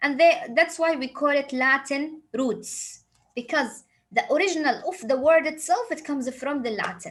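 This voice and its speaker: Speaking at a fairly slow pace, a woman talks in a high voice with an Arabic accent. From Saudi Arabia. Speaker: English teacher. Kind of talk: lecture.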